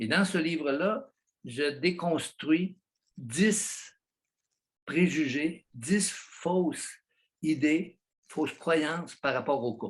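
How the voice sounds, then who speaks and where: Speaking at a very slow pace with long, frequent pauses, a man with a Quebec accent uses a fairly high pitch and ordinary pitch variation. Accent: Québécois. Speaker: psychologist, author. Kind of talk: interview answer. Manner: passionate.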